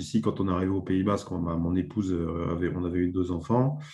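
A man's dark, mellow tone at a very deep, low pitch, with ordinary pitch variation and a moderate pace. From Burgundy, France. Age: 40s. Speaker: former sports journalist and author. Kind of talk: interview. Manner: hesitant, many fillers.

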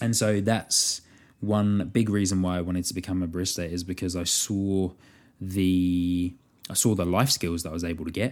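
A man talks at a moderate pace in a very deep, low pitch. His tone is enthusiastic. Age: 20s. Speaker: podcast host and barista. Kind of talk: casual solo podcast monologue. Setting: New Zealand. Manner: friendly, enthusiastic, with fillers.

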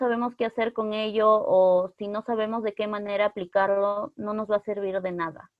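Fairly high in pitch, a woman speaks in a plain, everyday voice. Her intonation stays fairly even at a moderate pace. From northern Peru, Otuzco. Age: 20s. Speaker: psychology student. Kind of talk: casual chat.

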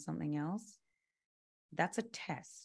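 With a British accent, a woman speaks at a fairly slow pace in a very deep, low pitch with lively intonation. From London, England. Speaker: musician and yoga instructor. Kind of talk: casual chat.

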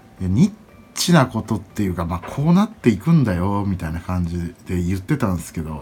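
A man's somewhat breathy voice with a dark, mellow tone, lively intonation and a fairly quick pace. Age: 30s. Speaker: podcast host and event MC. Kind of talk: solo casual monologue. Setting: at home. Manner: halting, many fillers.

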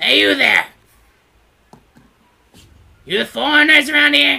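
The voice is a gruff, put-on character voice with a high pitch. It moves at a moderate pace. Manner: brusque, suspicious.

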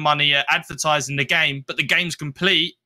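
A man with a British accent speaks at a fairly high pitch in a bright, sharp tone. The sound is dry and close with no echo, on a very clean recording with a silent background. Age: 20s. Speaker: gaming content creator. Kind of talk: interview.

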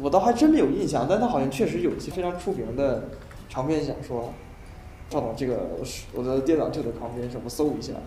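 Amid audible room echo, a man speaks at a fairly high pitch with lively intonation. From northern China. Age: 20s. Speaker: university math student. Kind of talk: casual chat. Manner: halting, many fillers and repetitions.

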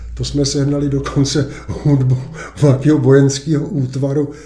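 A man speaks at a fairly slow pace in a medium pitch. His tone is dark and mellow, and somewhat breathy. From Czech Republic, east of Prague. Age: 70s. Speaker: lawyer and local resident. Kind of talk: casual interview.

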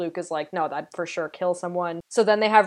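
A woman talks with a Canadian accent in a plain, everyday voice. Her pitch is fairly low, and the background is quiet. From Canada. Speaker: podcast host. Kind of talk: casual chat.

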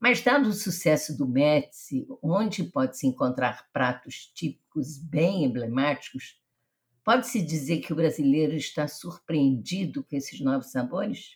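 Fairly slow and somewhat breathy, a woman speaks with a very deep, low pitch and lively intonation. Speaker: podcast host. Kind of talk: interview.

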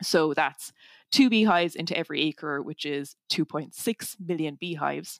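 A woman with a Cork accent speaks at a very deep, low pitch and a fairly slow pace, with ordinary pitch variation. The recording is very clean with a silent background and a dry, close sound with no echo. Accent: Cork Irish. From Ireland, north Cork. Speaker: tech startup founder and engineer. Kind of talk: interview.

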